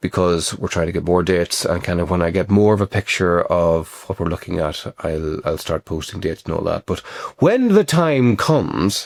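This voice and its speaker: With an Irish accent, a man speaks in very wide pitch swings. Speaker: actor and writer. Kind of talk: casual talk to camera.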